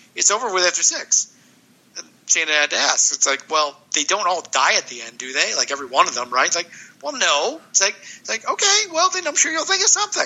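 A man talking at a very fast pace, with big swings in loudness and noticeable background noise. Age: 50s. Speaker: graphic novel author. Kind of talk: casual chat.

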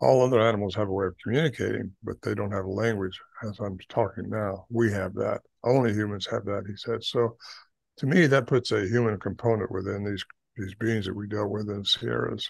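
A man's fairly low, fry-edged voice at a fairly quick pace, with fairly even intonation against a quiet background. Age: 80s. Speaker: Bigfoot researcher and author. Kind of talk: interview.

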